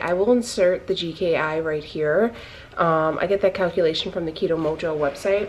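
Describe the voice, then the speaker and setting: A woman speaks at a fairly low pitch and a moderate pace. Her intonation is fairly even, with light background noise behind her. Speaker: keto lifestyle vlogger. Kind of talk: casual vlog chat. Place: kitchen. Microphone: phone near.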